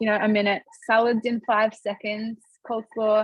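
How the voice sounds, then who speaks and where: A somewhat breathy woman speaks in a dry, close sound with no echo. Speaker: product demonstrator. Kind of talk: live product demonstration. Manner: fast.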